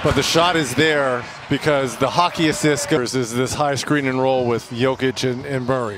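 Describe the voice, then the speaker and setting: A man talks at a moderate pace with fairly even intonation and a medium pitch. Noticeable background noise sits behind him. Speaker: basketball color analyst. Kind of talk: analytical color commentary during live broadcast. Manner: measured, explanatory, stat-focused.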